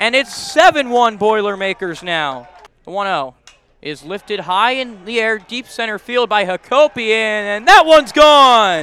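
The voice is raised and projected. Its loudness swings widely. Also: man, high pitch for a man, lively intonation, fairly slow pace. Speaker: baseball radio announcer. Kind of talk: live baseball play-by-play commentary. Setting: radio broadcast highlights.

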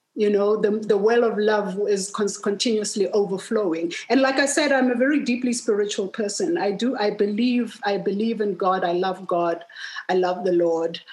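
A woman at medium pitch and a moderate pace, with ordinary pitch variation, very even loudness and hardly any pauses, over noticeable background noise. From South Africa. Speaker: filmmaker and human rights activist. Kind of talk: casual conversation.

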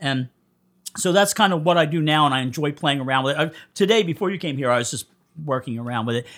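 In a Philadelphia accent, a man talks very fast with a fairly high voice and ordinary pitch variation. The recording is very clean, the background silent. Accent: Philadelphia-area American. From US Northeast, Coatesville, Pennsylvania. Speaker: punk musician. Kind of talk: casual interview chat. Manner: animated.

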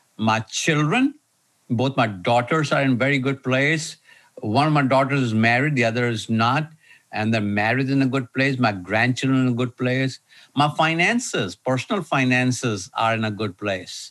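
A plain, everyday voice from a man, medium-pitched, with ordinary pitch variation. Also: moderate pace. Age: 60s. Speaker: leadership consultant and author. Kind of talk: interview. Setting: video call.

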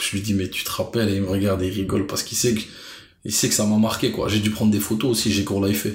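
Very fast, monotone speech from a man with a fairly low pitch, somewhat breathy, with audible room echo and flat intonation. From Brussels, Belgium. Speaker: street food enthusiast and artist manager. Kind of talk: casual interview.

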